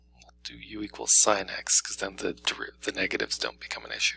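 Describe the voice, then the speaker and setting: A man's voice in a dry, close sound with no echo. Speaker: math teacher. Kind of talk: tutorial. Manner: fast; casual.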